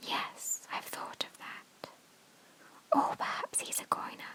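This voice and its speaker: The speaker whispers at a fairly slow pace over noticeable background noise. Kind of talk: whispered audiobook-style reading for sleep (bedtime story). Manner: whispered, soft.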